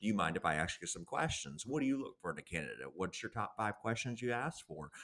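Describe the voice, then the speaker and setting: Speaking very fast with a Southern US accent, a man with a fairly low pitch uses very wide pitch swings and a bright, sharp tone. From US South. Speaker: career consultant and author. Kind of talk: podcast interview. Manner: blunt.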